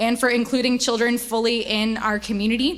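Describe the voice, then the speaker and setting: A woman speaks at a high pitch with audible room echo. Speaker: church staff leader. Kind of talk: church update presentation. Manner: fast.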